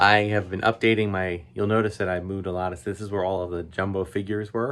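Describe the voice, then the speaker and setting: Fairly low-pitched male speech at a fairly quick pace, with fairly even intonation. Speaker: toy collector video host. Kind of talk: casual vlog.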